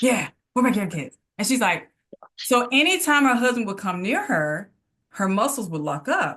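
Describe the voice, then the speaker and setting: A woman in a Mississippi accent speaks at a moderate pace with a high pitch. Her tone is bright and sharp, with very wide pitch swings. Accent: US Southern (Mississippi). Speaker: physical therapist. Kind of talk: casual interview conversation.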